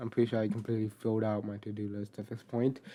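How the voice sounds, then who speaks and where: A man's fairly even intonation carries over noticeable background noise. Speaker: gaming video narrator. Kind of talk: gameplay voice-over. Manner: monotone.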